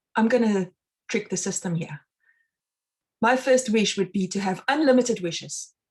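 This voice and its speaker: Somewhat breathy, fairly high female voice in a South African accent, with ordinary pitch variation at a moderate pace. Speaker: mind and success consultant, meditation instructor. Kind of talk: live online talk.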